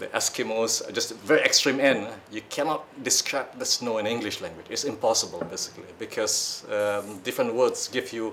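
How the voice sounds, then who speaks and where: Moderate pace with hardly any pauses, in a Malaysian accent, over noticeable background noise. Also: man. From Malaysia or Singapore, Malay community. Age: old. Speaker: audience member at book discussion. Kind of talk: audience question at book discussion. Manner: halting.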